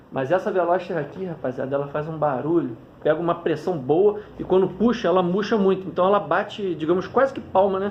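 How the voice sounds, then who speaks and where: Talking at a fairly quick pace over noticeable background noise, a man uses a high pitch with ordinary pitch variation. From Petrópolis, Rio de Janeiro, Brazil. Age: 30s. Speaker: kite flyer, YouTuber. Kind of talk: casual interview. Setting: recording himself on phone front camera.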